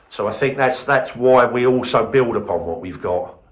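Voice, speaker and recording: Moderate-paced speech from a man amid noticeable background noise and audible room echo. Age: 60s. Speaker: museum volunteer leader. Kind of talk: interview. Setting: heritage centre open day.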